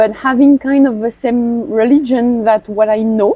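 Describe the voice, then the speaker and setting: In a French accent, a woman talks at a fairly slow pace with a high pitch and ordinary pitch variation. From northern France. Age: 30s. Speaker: scuba instructor. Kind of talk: interview.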